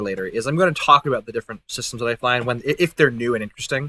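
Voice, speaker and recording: Bright and sharp in tone, a man talks very fast in a dry, close sound with no echo. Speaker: gaming streamer. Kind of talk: casual gameplay commentary. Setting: live stream. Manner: frequent filler ums.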